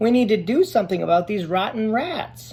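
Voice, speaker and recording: A put-on character voice at a fairly high pitch. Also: fairly quick pace. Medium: read story.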